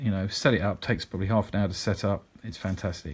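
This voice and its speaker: Somewhat breathy and in a British accent, the voice moves at a fairly quick pace with ordinary pitch variation on a very clean recording with a silent background. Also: man. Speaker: digital marketing consultant and podcast host. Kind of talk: solo podcast monologue, informative business talk. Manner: conversational, fillers, upbeat.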